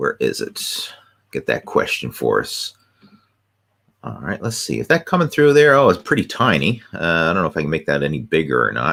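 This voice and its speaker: A very clean recording, silent background, and a man's moderately paced speech. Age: 40s. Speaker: fitness coach. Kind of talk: live video Q&A. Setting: live video stream.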